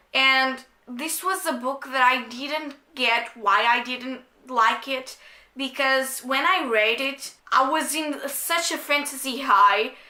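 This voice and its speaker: In a raised, projected voice, a woman with a non-native accent talks at a very slow pace and high pitch. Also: ordinary pitch variation. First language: not English. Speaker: book reviewer. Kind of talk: casual talk to camera.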